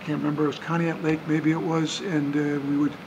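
Noticeable background noise surrounds a man talking at a fairly quick pace. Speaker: interviewee. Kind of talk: interview answer. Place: bar.

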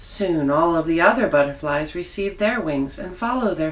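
There is noticeable background noise as a woman speaks. Her tone is gentle and her pace moderate. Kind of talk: fairy-tale narration, reading a children's story aloud. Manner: soft, gentle storyteller's pace with wonder and warmth; animated, sing-song emphasis on exclamations.

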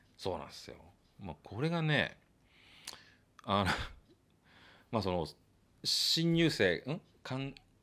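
Moving at a fairly slow pace, a man speaks with a bright, sharp tone, very wide pitch swings, big swings in loudness and long, frequent pauses. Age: 50s. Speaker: trumpet player and studio owner; guest. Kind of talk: casual interview chat. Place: home room. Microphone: studio mic.

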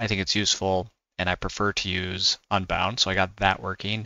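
A man's fairly low voice in a dry sound with no echo, over a quiet background. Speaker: tech hobbyist creator. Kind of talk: tutorial.

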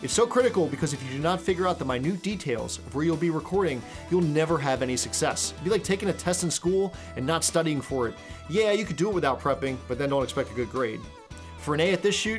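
A man talks at a very fast pace. Clear music plays in the background. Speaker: presenter. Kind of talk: tutorial. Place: studio.

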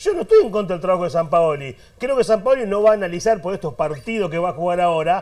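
Over a quiet background, a man talks at a very fast pace. His high pitch has ordinary variation. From Argentina. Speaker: football pundit; panelist. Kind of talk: heated debate. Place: studio. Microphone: lapel.

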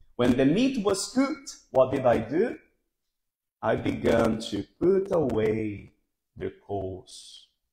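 There's audible room echo as a man speaks at a very slow pace against a quiet background. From Brazil. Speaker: pastor. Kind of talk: sermon. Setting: church. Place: hall.

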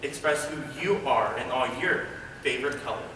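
Audible room echo and light background noise surround a man talking at a moderate pace with ordinary pitch variation. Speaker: auditioning actor. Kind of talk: audition slate and performed monologues. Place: hall. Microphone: camera far.

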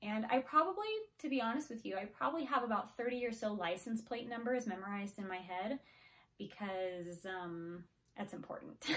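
Against a quiet background, a woman with a fairly high pitch speaks in a deadpan tone at a moderate pace. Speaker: actor performing a monologue. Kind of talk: stand-up monologue, scripted comedic first-person bit. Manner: conversational, chatty, deadpan-ish with filler words and frequent laughs. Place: home room. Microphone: phone near.

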